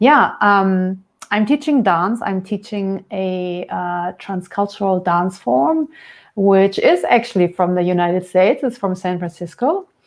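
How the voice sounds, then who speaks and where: A woman talks with a German accent at a fairly slow pace. Her intonation is lively. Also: medium pitch for a woman. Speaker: dance and yoga teacher. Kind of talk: interview. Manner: halting, searching for words.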